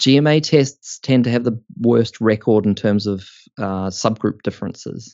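A man at medium pitch and moderate pace, with a New Zealand accent and ordinary pitch variation. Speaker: organisational psychology academic. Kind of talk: interview. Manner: hesitant, with many fillers.

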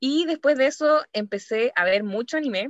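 In a Chilean accent, a woman speaks at a moderate pace with lively intonation, in a dry, close sound with no echo. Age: 20s. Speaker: podcast co-host. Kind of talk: casual chat.

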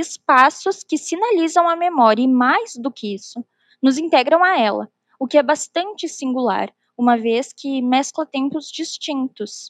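Her pitch high and her intonation lively, a woman speaks at a fairly slow pace in a dry, close recording with no echo. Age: 20s. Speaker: former museum intern. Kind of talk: interview. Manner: formal.

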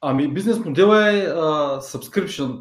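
In a plain, everyday voice, a man speaks at a moderate pace. His intonation is lively. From Bulgaria, Ruse. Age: 30s. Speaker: online media entrepreneur. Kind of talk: interview.

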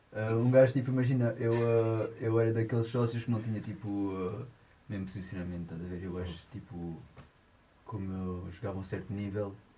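With audible room echo around him, a man talks fairly quickly in a fairly low pitch. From France. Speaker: musician, guitarist and singer. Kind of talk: casual chat. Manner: halting.

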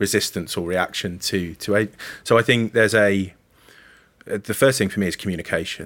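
This man has a West Midlands accent and a fairly low pitch with ordinary pitch variation. The recording is very clean, with a silent background. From Coventry, England. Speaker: talent acquisition manager. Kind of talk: casual interview chat.

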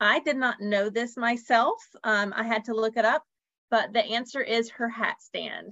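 This woman has an ordinary speaking voice, pitched fairly high, with ordinary pitch variation. She speaks at a fairly slow pace, and the sound is dry and close with no echo. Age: 40s. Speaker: podcast host, travel agent. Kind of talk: casual chat. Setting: video call.

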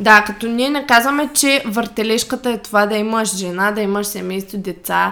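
A woman speaks in an ordinary speaking voice at a moderate pace. Her pitch is fairly high, with ordinary pitch variation. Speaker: fitness coach podcast co-host. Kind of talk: casual chat.

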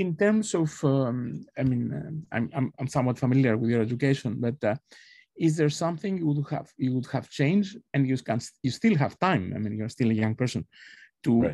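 Speaking fairly quickly, a man with a Greek accent uses lively intonation. His voice is medium in pitch with a dark, mellow tone. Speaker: professor. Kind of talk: interview. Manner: halting.

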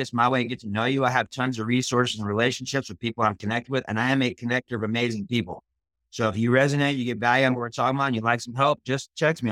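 Bright, sharp and animated, an enthusiastic delivery at a very fast pace with hardly any pauses, in a dry, close sound with no echo. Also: man. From Austin, Texas. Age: 40s. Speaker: author and speaker. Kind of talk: motivational talk. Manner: fast talker; animated, enthusiastic.

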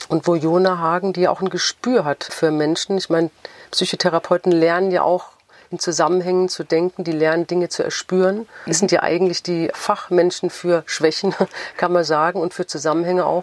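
A woman talks at a moderate pace with a fairly low pitch and a monotone, flat intonation. The sound is dry and close, with no echo. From Frankfurt, Germany. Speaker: novelist. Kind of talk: interview.

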